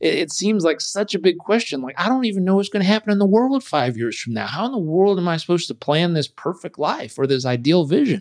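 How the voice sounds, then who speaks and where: A high-pitched man talking at a very fast pace, with very wide pitch swings and hardly any pauses. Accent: American. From Southern California. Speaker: performance coach and author. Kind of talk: interview conversation.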